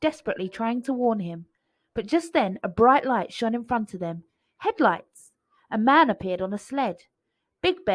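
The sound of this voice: Lively intonation from an unforced reading voice, the background quiet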